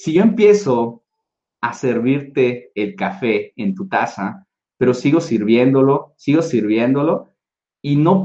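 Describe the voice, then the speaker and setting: This man has a fairly high pitch and lively intonation, and he talks at a fairly slow pace. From Mexico, Tabasco. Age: 30s. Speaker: motivational speaker. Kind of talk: motivational talk. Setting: video call. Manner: animated.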